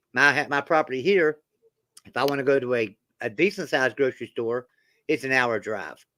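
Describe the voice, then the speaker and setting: This man has a strong West Virginia accent and a bright, sharp tone at medium pitch with ordinary pitch variation. He talks at a fairly quick pace broken by long, frequent pauses, in a dry, close sound with no echo. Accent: thick West Virginia country. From Roanoke, Virginia and Beckley, West Virginia. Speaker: sports channel host. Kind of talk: casual live-stream chat.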